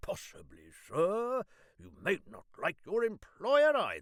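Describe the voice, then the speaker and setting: Using a put-on character voice at an extremely high pitch, a man talks at a fairly slow pace, recorded dry and close with no echo. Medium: read story. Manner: impulsive, indignant.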